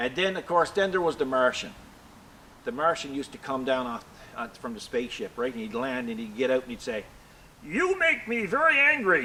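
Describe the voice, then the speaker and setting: Someone talks at a fairly quick pace with lively intonation over noticeable background noise. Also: man, medium pitch for a man. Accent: Newfoundland. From Newfoundland. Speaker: tractor and metalwork hobbyist. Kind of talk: casual chat while working. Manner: animated, laughing.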